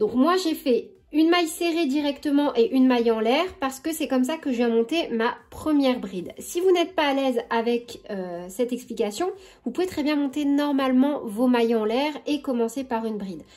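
The speech runs with hardly any pauses and carries lively intonation. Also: woman, high pitch for a woman, moderate pace. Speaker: crochet tutorial creator. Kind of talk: tutorial. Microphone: phone near.

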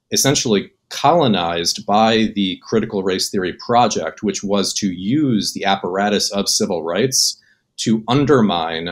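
A man speaks with a fairly low pitch at a moderate pace. It is an ordinary speaking voice. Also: ordinary pitch variation. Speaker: remote podcast guest. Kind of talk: debate argument. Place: home room. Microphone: webcam.

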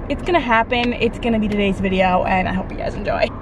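Noticeable background noise accompanies a woman who speaks at a moderate pace. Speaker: vlogger. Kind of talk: casual vlog chat. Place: car. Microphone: phone near.

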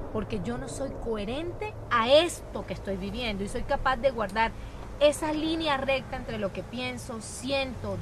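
With noticeable background noise and a dry sound with no echo, a woman speaks at a moderate pace. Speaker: guest. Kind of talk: interview answer. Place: garden.

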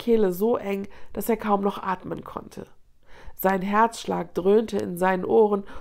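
A natural read-aloud delivery, intonation fairly even throughout

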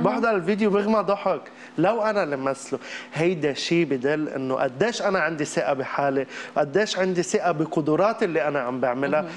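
Talking at a moderate pace, a man uses ordinary pitch variation. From Lebanon. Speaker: comedic actor and social media creator; comedic actor, social media creator. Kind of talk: TV interview. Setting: TV studio with audience. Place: studio.

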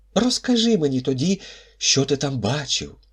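Here a man puts on a character voice, pitched fairly high. He keeps a moderate pace. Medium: read story.

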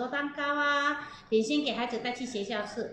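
A woman's high-pitched voice with light background noise and audible room echo. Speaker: baking teacher. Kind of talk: live baking class storytelling. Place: kitchen.

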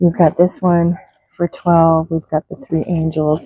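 A woman's fairly low, dark, mellow voice at a fairly slow pace, dry with no echo, over light background noise. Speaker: reseller. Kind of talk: casual vlog chat. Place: shop. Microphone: phone near.

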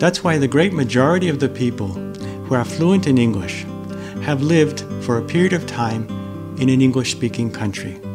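Clear music plays in the background as a man with an American accent speaks at a moderate pace. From Boston, Massachusetts, USA. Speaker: English teacher. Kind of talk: casual talk to camera. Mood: calm, friendly. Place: home room.

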